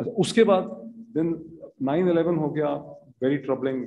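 At a moderate pace, a man with a Pakistani accent speaks in a fairly high pitch for a man. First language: Urdu. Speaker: seminar panelist; panelist. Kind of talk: panel discussion. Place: hall. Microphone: podium.

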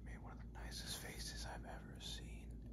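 There is loud background noise as a man speaks at a moderate pace. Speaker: ASMR creator. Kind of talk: ASMR personal attention role play. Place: home room. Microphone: phone near.

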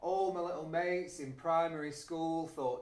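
With a northern English accent, a man speaks amid audible room echo. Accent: northern English with glottal stops. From Yorkshire, northern England. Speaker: spoken word poet; spoken-word poet. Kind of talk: poetry performance. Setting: performance venue. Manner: rhythmic. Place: stage.

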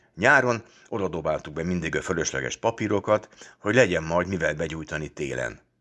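A man speaks fairly quickly with a very deep, low pitch. His tone is bright and sharp, and the recording is very clean with a silent background. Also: lively intonation. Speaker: audiobook reader. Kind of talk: literary audiobook reading, first-person story narration with a fatherly voice. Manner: warm, lively storytelling with mock-stern, teasing tones in the dialogue.

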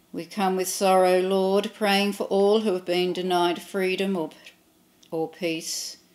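A woman speaks at a fairly slow pace, her intonation flat and monotone. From Australia. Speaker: clergy leading prayer. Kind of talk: read prayers of intercession. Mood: calm, reverent. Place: home room.

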